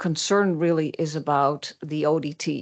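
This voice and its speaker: Over a quiet background, a woman with a slight Dutch accent talks in a very deep, low pitch with fairly even intonation. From Netherlands. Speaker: public commenter. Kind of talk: public comment. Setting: city council meeting. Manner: halting, many fillers.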